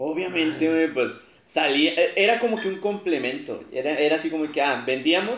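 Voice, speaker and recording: A man speaks with ordinary pitch variation, and audible room echo is present. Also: fairly high pitch for a man, moderate pace. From Matamoros, Tamaulipas, Mexico. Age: 20s. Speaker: engineering graduate, family food business. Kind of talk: casual interview chat.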